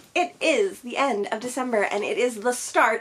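Lively intonation marks a woman's high-pitched voice at a moderate pace. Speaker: book vlogger. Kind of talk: casual vlog chat. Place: home room. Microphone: phone near.

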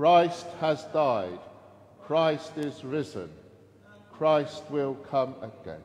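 The speech moves at a very slow pace with long, frequent pauses, ordinary pitch variation, and a solemn, warm tone. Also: man. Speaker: priest. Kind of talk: Anglican Eucharist service: the priest leads liturgical prayer. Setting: church service streamed online. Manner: formal, measured, solemn, reverent liturgical delivery, with warm informal asides. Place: church.

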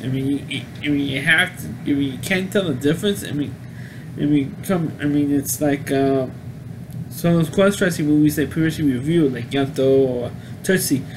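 A man speaks with a fairly high pitch. His pitch variation is ordinary. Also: moderate pace.

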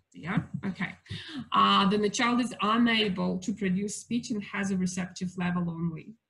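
A woman with a Russian accent speaks with a bright, sharp tone, vocal fry and fairly even intonation over a quiet background. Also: moderate pace. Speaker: family daycare educator giving talk to parents. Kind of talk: lecture. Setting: video call. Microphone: video call.

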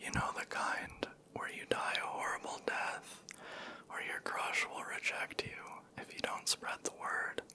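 A man whispers. His pace is fairly slow. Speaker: storyteller. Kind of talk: scary story narration, soft ASMR reading. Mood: eerie, hushed. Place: home room. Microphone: handheld.

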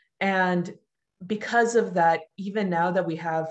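Fairly low in pitch, a woman speaks with fairly even intonation in a normal speaking voice. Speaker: artist and activist. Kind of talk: panel discussion. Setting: video call.

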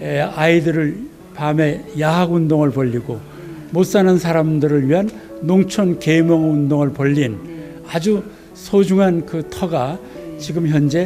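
A man at a fairly high pitch with ordinary pitch variation and a very slow pace, over clear music in the background. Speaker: literary museum guide. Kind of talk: interview answer. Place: hall. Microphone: handheld.

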